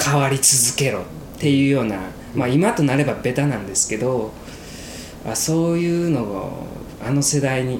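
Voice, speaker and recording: Over noticeable background noise and audible room echo, a man speaks at a moderate pace with ordinary pitch variation. His pitch is fairly high, and he takes long, frequent pauses. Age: 20s. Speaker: podcast co-host. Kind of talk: casual chat.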